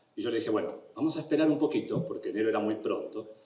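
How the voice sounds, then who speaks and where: Over noticeable background noise and audible room echo, a man with an Argentine accent talks at a very fast pace in a fairly high voice with ordinary pitch variation. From Argentina. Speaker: immigration lawyer. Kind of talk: educational talk. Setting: event room with audience.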